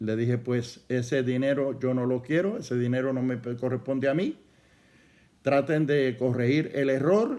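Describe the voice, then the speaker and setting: A man's dark, mellow tone at a medium pitch, fairly slow in pace and fairly even in intonation. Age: 70s. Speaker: pastor. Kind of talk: sermon.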